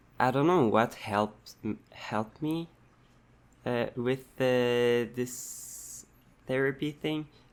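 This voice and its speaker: Moving at a very slow pace, a man talks with ordinary shifts in pitch. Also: medium pitch for a man. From Quebec. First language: French. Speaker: vlogger. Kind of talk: personal vlog monologue. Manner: halting, many fillers and restarts.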